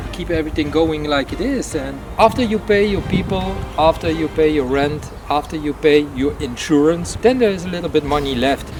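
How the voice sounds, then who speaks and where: Noticeable background noise surrounds a man speaking at a fairly quick pace. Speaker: airsoft field owner. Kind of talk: interview. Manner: halting, many fillers.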